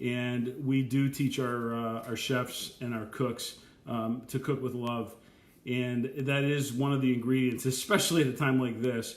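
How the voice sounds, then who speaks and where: Audible room echo surrounds a man speaking at a medium pitch. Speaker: chef. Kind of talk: live Q&A. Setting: live video stream. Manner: fast; animated. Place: kitchen. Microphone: webcam.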